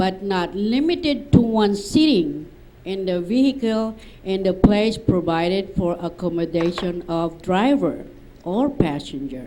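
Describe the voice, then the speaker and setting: Noticeable background noise runs under a fairly slow delivery. The intonation is lively, with a Filipino accent. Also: woman, medium pitch for a woman. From Philippines. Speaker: seminar attendee. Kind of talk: audience question at seminar. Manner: halting. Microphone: far from the mic.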